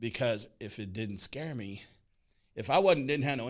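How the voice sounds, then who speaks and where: On a very clean recording with a silent background, a man speaks at a moderate pace in a normal speaking voice with ordinary pitch variation. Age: 60s. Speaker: talk show host. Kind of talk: casual chat.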